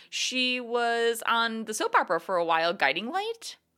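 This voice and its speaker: On a very clean recording with a silent background, a woman's bright, sharp, animated voice swings very widely in pitch. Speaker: podcast co-host. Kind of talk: casual conversational podcast chat. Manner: animated, laughs often, chatty.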